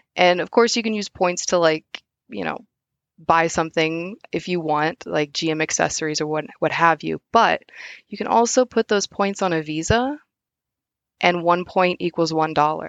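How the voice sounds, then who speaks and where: Speaking at a moderate pace with an American accent, a woman uses an unremarkable speaking voice at a fairly low pitch with ordinary pitch variation. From US Midwest, southwest Missouri. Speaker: automotive field service engineer. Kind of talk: casual interview.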